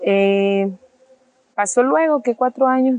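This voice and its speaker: A woman at a very slow pace in a dry, close sound with no echo. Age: 30s. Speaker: single mother and beautician. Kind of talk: personal testimony. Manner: hesitant, with frequent fillers.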